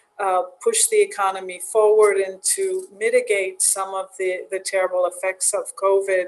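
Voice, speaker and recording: A woman with an American accent speaks at a fairly slow pace. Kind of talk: panel discussion.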